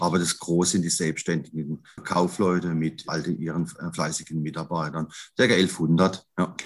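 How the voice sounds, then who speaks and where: Here a man speaks with a very deep, low pitch. His pace is fairly slow and his intonation is monotone and flat. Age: 50s. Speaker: grocery retail executive, trained butcher. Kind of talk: podcast interview.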